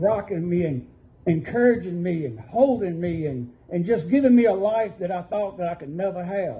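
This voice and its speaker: With a dark, mellow tone, a man talks at a moderate pace. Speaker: pastor. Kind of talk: sermon testimony. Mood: earnest, emotional. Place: church. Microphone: camera far.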